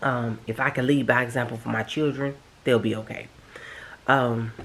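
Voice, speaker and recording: In a very deep, low pitch, a woman speaks at a moderate pace with flat, monotone intonation. Noticeable background noise runs behind her. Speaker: home decor vlogger. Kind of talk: casual personal vlog talk.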